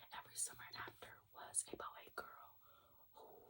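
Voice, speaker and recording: A woman whispers. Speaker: ASMR content creator. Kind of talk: ASMR whisper ramble about books and hobbies. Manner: whispered, soft.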